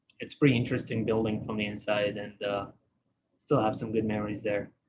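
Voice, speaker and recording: This man speaks at medium pitch. He has an Iraqi accent. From Iraq (Baghdad). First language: Arabic. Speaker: dental technician. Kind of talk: live online presentation. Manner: hesitant, many fillers.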